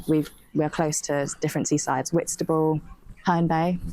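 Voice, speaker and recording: A woman speaks at a fairly quick pace with a British accent. Her tone is dark and mellow, and her pitch is very deep and low. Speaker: English teacher. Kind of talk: casual vlog talk to camera. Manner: fast, fluent.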